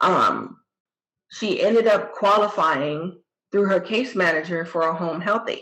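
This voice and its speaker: A woman with an American accent speaks at a fairly slow pace in a medium pitch, in an ordinary speaking voice. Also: ordinary pitch variation. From New Jersey. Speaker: caregiver. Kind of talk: testimony.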